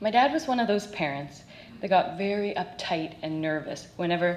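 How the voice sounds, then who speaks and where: A woman with a Canadian accent talks with ordinary pitch variation over noticeable background noise. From Canada, North Vancouver. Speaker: Olympic badminton player and parent. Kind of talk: recorded talk to an audience.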